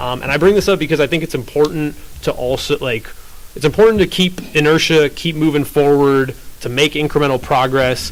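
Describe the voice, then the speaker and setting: Fairly quick speech from a man at a fairly high pitch, with noticeable background noise. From US West Coast, San Francisco (moved from Ukraine at four). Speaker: panel speaker, media producer. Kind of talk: panel talk. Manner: casual, filler-heavy.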